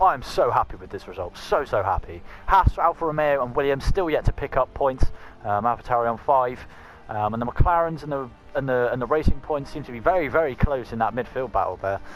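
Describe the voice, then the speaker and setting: Music plays behind a man with a fairly high pitch at a fairly quick pace. His pitch varies in an ordinary way, but his loudness swings widely. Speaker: gaming YouTuber. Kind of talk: gameplay commentary.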